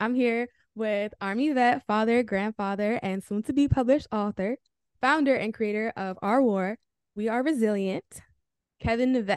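A plain, everyday voice from a woman at a fairly high pitch, moderate pace and ordinary pitch variation, dry and close with no echo against a quiet background. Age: 20s. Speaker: podcast host. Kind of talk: podcast interview. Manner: excitable.

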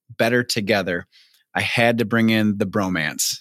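An unremarkable speaking voice from a man with an American accent, at a moderate pace with ordinary pitch variation, dry and close with no echo. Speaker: podcast host. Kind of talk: casual interview chat.

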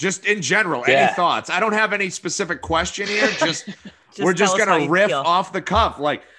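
In a New Hampshire accent, a man with a bright, sharp tone speaks at a moderate pace with ordinary pitch variation over a quiet background. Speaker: podcast co-host.

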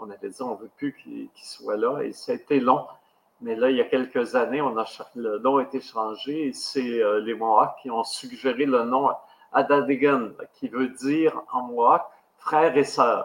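At a fairly slow pace, a man of medium pitch talks with ordinary pitch variation and big swings in loudness. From Quebec, Abitibi. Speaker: podcast host. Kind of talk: interview. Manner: halting.

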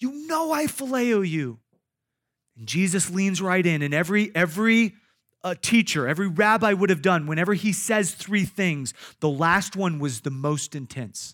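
A man with a Midwestern American accent, high in pitch with lively intonation, at a moderate pace on a very clean recording with a silent background. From Iowa. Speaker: pastor. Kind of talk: sermon. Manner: halting, frequent repetitions and fillers.

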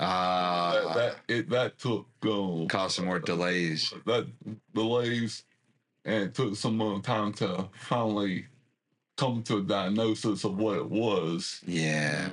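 This speaker talks at a very slow pace in a Southeast Texas accent. The loudness stays very even, with ordinary pitch variation. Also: man, fairly low pitch for a man. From Southeast Texas, Port Arthur area. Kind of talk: interview. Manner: halting, many fillers and repetitions.

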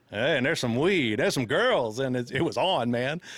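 The man's pitch swings very widely as he speaks. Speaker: musician guest. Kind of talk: casual banter chat.

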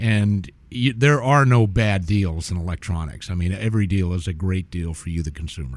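Hardly any pauses interrupt a man with a very deep, low pitch. He talks at a moderate pace with lively intonation. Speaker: audio video technician. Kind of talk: radio guest interview with sales pitch. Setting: radio studio.

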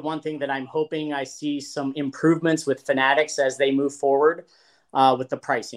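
A man with an unremarkable speaking voice talks at a fairly quick pace, his pitch fairly high. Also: very clean recording, silent background. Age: 40s. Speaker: card collector. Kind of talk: casual chat.

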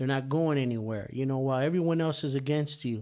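This man's tone is dark and mellow, heard on a very clean recording with a silent background. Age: 50s. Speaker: podcast co-host. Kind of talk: casual chat.

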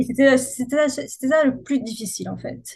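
With high pitch and ordinary pitch variation, a woman is speaking. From Corsica, France (Ajaccio). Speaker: marketing agency founder. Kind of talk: interview. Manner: hesitant, frequent fillers.

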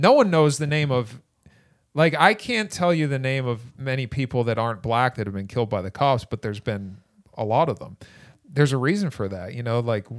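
A man's medium-pitched voice at a moderate pace, in a very clean recording with a silent background. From Boston, Massachusetts. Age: 40s. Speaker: stand-up comedian. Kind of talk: casual chat.

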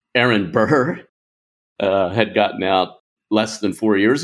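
A man speaks in an ordinary speaking voice at a fairly low pitch, with ordinary pitch variation. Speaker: political scholar. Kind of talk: interview.

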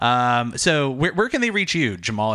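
A man's unremarkable speaking voice at a medium pitch and fairly quick pace, with lively intonation and a dry, close sound with no echo. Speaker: podcast host. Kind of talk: casual chat.

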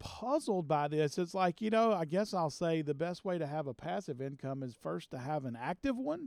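Pitched high for a man, his voice swings very widely in pitch, with a dry, close sound with no echo on a very clean recording against a silent background. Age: 50s. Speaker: podcast host and business executive. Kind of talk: solo monologue on success. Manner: repetitive, stammering on words.

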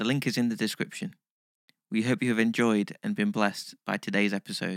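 On a very clean recording with a silent background and a dry, close sound with no echo, a man with a plain, everyday voice speaks at a medium pitch and a fairly quick pace with ordinary pitch variation. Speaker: meditation guide. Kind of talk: guided meditation. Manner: calm, gentle, measured.

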